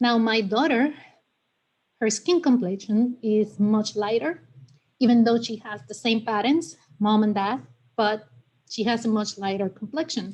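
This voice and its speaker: With a Spanish accent, a woman speaks fairly slowly at a fairly high pitch with ordinary pitch variation. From Puerto Rico. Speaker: community member at town committee meeting. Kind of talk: personal testimony at public meeting.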